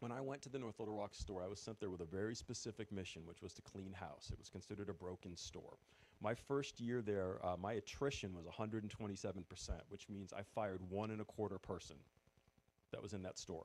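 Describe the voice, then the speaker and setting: A man with a fairly low voice races along at a very fast pace, his pitch shifting in an ordinary way. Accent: New England. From New England. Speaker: former retail store manager, event speaker. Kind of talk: presentation to audience.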